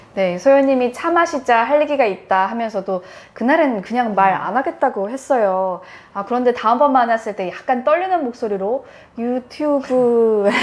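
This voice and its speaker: A woman speaks loudly in a high voice. Her intonation is lively. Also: moderate pace. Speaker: journalist turned education channel host. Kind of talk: casual chat.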